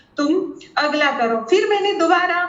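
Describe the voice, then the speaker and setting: A woman's voice with audible room echo. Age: 30s. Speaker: former student turned assistant professor. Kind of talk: testimonial. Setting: video call. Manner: halting.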